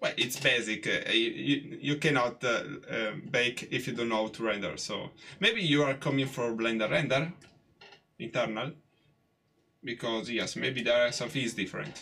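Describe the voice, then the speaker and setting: A man with an Italian accent speaks at a moderate pace and medium pitch, with ordinary pitch variation and long, frequent pauses. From Italy. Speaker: 3D artist live streamer. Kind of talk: live tutorial stream. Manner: halting, many fillers.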